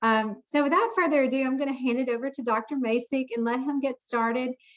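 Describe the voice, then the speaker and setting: A woman with a Southern US accent, high-pitched and very fast, her intonation fairly even. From US South, Jackson, Mississippi. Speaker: foundation board member, moderator. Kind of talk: event moderation.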